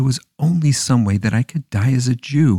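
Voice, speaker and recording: Medium-pitched man with a dark, mellow tone, somewhat breathy, at a moderate pace with ordinary pitch variation, in a dry, close sound with no echo. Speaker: storyteller. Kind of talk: dramatic narration of a historical tale, storybook style with character dialogue. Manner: dramatic, measured, expressive.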